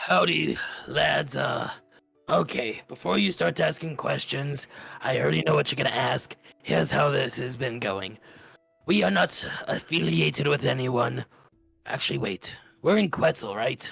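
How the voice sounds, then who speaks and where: A man's raspy, put-on character voice at a medium pitch and moderate pace, with long, frequent pauses and faint music in the background. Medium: actual play. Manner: breezy, confident, bossy.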